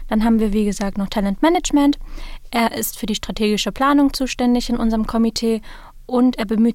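Woman with a normal speaking voice, fairly high-pitched and fairly even in intonation, at a fairly quick pace. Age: 20s. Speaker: student society officer. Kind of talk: interview. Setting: studio.

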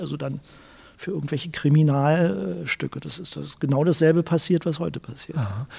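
Somewhat breathy and dark, mellow in tone, a man talks at a fairly quick pace with a fairly high pitch. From Berlin (West Berlin, Charlottenburg). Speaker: journalist and author. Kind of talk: interview. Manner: halting, many repetitions and fillers.

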